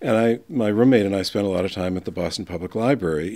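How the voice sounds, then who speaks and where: The speaker has an American accent and fairly even intonation at a moderate pace. The recording is very clean, with a silent background. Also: man. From US New England (New Hampshire). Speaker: biographer and book designer. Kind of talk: interview. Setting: conference recording.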